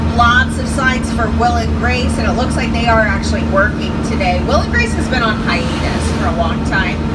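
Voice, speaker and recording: A woman with a very deep, low pitch and an American accent speaks at a moderate pace in monotone, flat intonation with very even loudness and hardly any pauses, over noticeable background noise. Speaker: studio tour guide. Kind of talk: guided tour commentary. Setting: tour tram with PA microphone.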